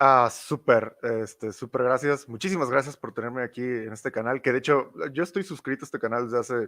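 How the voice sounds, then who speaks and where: Speaking with a Mexican accent, a man with a medium pitch and a bright, sharp tone talks at a fairly quick pace with hardly any pauses and ordinary pitch variation, in a very clean recording with a silent background and a dry, close sound with no echo. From Mexico. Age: young. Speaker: youtuber, cultural commentator. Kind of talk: interview. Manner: hesitant fillers.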